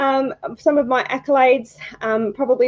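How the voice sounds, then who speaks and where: The speaker is a woman with an Australian accent. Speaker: photography judge, retired birth photographer. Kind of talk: live stream introduction. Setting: live stream. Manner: hesitant, many fillers.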